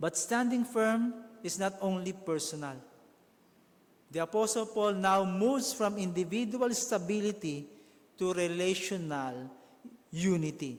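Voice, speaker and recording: With lively intonation and long, frequent pauses, a man speaks at high pitch. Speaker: pastor. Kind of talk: sermon delivered to a congregation.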